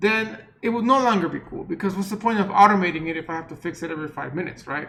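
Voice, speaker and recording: Speaking very fast with a non-native accent, a man raises and projects his high-pitched voice, with ordinary pitch variation, big swings in loudness and audible room echo. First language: not English. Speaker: university lecturer. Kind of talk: lecture. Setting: recorded online class meeting. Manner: casual, conversational.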